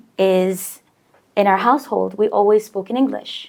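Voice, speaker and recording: A woman speaks in a plain, everyday voice, pitched fairly high. Her pace is moderate, with ordinary pitch variation. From Bahrain, Omani-American family. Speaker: banker, podcast guest. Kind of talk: casual interview.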